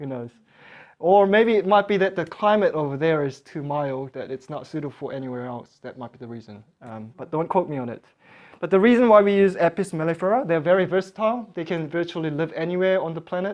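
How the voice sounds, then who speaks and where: The speaker has a Korean accent. The pace is very fast. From South Korea. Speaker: beekeeping class teacher. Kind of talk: lecture. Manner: halting.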